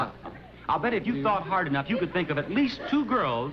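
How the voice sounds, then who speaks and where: Noticeable background noise sits under a man's high voice. He speaks fairly quickly with very wide pitch swings. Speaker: game show host. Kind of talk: TV game show hosting.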